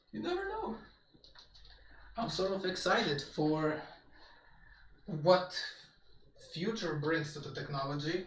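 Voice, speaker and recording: A man's high-pitched voice at a fairly slow pace, broken by long, frequent pauses, with audible room echo and noticeable background noise. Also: ordinary pitch variation. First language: Polish. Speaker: gaming streamer. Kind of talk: casual live-stream chat.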